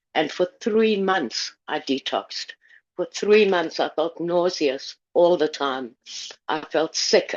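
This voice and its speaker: A woman's fairly low, fairly slow delivery in a plain, everyday voice with ordinary pitch variation. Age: 60s. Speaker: testimonial speaker. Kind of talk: testimony.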